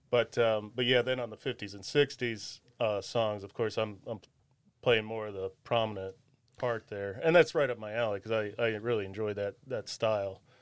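With an American accent and a normal speaking voice, a man talks at a moderate pace, fairly low in pitch and with fairly even intonation, his loudness swinging widely on a very clean recording with a silent background. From Ohio, Wadsworth. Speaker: guitarist and singer. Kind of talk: casual chat.

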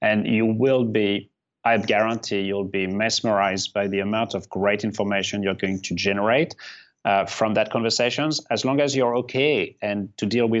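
A man's fairly low voice carries a fairly even intonation. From outside the US. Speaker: marketing executive. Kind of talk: interview.

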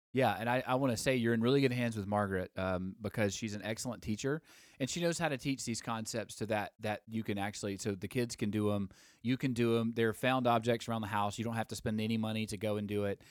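Speaking very fast in a Southern US accent, a man with a medium pitch keeps his intonation fairly even on a very clean recording with a silent background. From Alabama. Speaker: podcast host, former songwriter. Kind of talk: casual live-stream chat. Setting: live Instagram recording with microphones. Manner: hesitant, many fillers.

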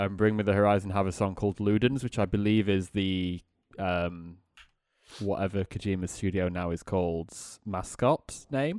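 In a very clean recording with a silent background, a man with a Yorkshire accent talks at a moderate pace and fairly low pitch. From northern England, Sheffield. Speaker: podcast co-host. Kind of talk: casual chat.

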